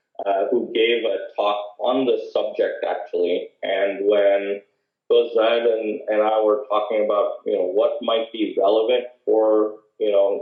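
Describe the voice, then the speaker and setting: A man with an American accent talks at a fairly slow pace, keeping his loudness very even. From US Northeast, Massachusetts. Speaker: biomedical engineer, guest speaker. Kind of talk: talk to an audience.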